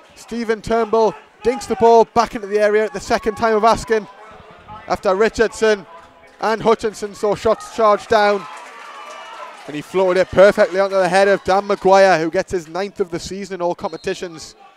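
Amid noticeable background noise, a man with a high pitch talks at a fairly quick pace in an excited tone, the sound dry and close with no echo. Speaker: football commentator. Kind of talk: live-style football match commentary over highlights, play-by-play with analysis. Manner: brisk play-by-play, rising to excited exclamations at goals and chances; wry, chatty asides between action.

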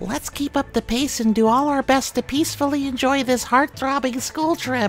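Over clear music in the background, a female-sounding, put-on character voice speaks at a high pitch and a moderate pace. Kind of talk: cute mascot voice. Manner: bubbly, sweet, upbeat.

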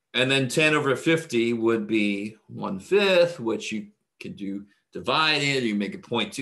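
Lively intonation and a bright, sharp tone mark this man's voice. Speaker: math instructor. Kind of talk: lecture. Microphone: webcam.

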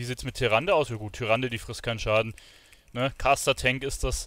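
At a fairly quick pace, a man talks. His tone is fairly bright. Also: medium pitch for a man, fairly even intonation.

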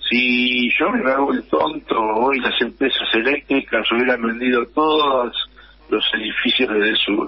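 Over noticeable background noise, a man speaks at a fairly slow pace with very even loudness and fairly even intonation. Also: medium pitch for a man. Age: 70s. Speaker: union leader. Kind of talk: radio interview.

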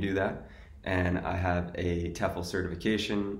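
With audible room echo, a man speaks at a very deep, low pitch and a fairly slow pace. His intonation is monotone and flat. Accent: New York. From New York. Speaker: English teacher. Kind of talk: sales pitch. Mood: friendly, welcoming. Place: home room. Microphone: webcam.

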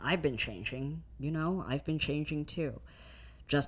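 This woman's voice sits at a very deep, low pitch, carries vocal fry, and moves at a moderate pace. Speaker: stand-up comic. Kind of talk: stand-up comedy set. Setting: stage with audience. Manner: animated, playful, conversational. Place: stage. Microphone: handheld.

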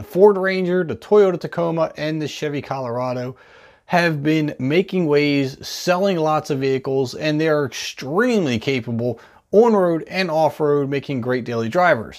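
A man's lively intonation at a moderate pace against a quiet background. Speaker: car channel host. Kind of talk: casual vlog chat. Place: home room. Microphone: lapel.

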